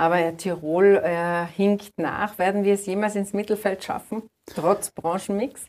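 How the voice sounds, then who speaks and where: A woman speaks fairly slowly in a plain, everyday voice, her pitch medium and her intonation fairly even. The recording is very clean with a silent background. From Austria, Tyrol. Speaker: newspaper reporter and interviewer. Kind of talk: interview. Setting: studio.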